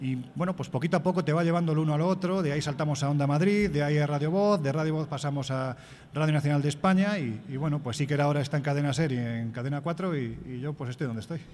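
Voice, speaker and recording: A man with a fairly high pitch talks very fast, with ordinary pitch variation. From Andalusia, Spain. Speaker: magazine editor and radio commentator. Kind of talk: interview.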